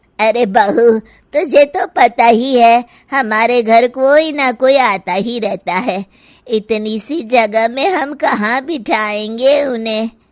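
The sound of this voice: A woman does a cartoonish character voice, fairly high in pitch and at a fairly slow pace.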